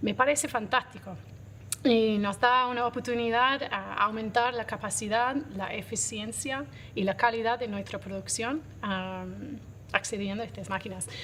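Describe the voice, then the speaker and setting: A woman with an English accent, fairly high pitch, fairly even intonation and a bright, sharp tone. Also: fairly slow pace. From Australia. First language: English (speaking Spanish). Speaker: coffee roaster and business owner. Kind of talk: interview.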